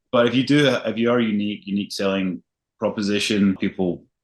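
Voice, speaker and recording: At a fairly quick pace, a man with a Scottish accent speaks at a fairly low pitch. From Scotland, Glasgow. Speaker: luxury realtor. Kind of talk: interview.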